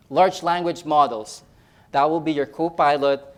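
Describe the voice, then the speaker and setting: A man with a Filipino accent at a moderate pace. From Philippines. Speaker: nurse educator. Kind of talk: conference talk. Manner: halting, many fillers and repeats.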